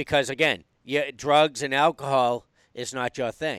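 An ordinary speaking voice from a man, medium in pitch, at a moderate pace, with a dry, close sound and no echo. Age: 50s. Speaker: podcast host. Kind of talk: casual interview. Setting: video call.

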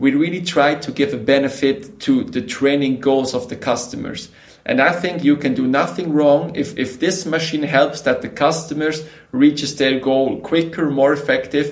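A moderate pace with ordinary pitch variation. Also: man, fairly high pitch for a man. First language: Swiss German. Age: 30s. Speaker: company co-founder. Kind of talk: interview. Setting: video call. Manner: energetic.

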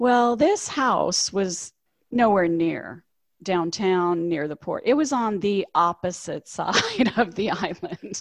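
Speaking at a very slow pace, a woman uses a medium-pitched voice. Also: lively intonation. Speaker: cruise travel agent and former ship crew member. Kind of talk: casual interview, telling stories. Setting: video call.

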